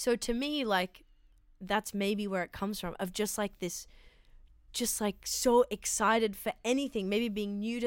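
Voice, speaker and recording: A woman with an Australian accent speaks at a fairly slow pace. Her medium-pitched voice stays in fairly even intonation. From Sydney, Australia. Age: 20s. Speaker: comedian. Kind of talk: casual chat.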